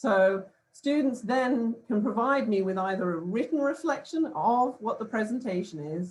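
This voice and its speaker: Lively intonation, a somewhat breathy quality, and a British accent. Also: woman. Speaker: professor. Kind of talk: conference presentation. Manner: hesitant, many fillers.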